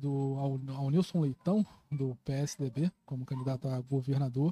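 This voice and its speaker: The voice has a dark, mellow tone and is somewhat breathy. The sound is dry and close, with no echo. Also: man. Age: 20s. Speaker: journalist and political activist. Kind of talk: casual podcast conversation.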